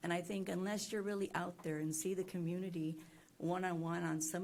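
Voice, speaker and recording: In an American accent, a woman with a fairly low pitch talks at a very fast pace with fairly even intonation, amid audible room echo and noticeable background noise. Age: 60s. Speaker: senior companion volunteer. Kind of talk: public comment at a meeting. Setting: county commissioners court meeting. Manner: halting.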